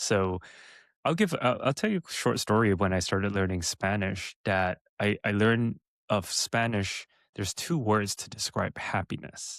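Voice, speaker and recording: With a Californian accent, a man speaks at a moderate pace and a fairly low pitch, in a very clean recording with a silent background and a dry, close sound with no echo. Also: ordinary pitch variation. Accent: American, Californian. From Los Angeles area, California. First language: Mandarin. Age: 30s. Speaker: entrepreneur. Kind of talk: interview.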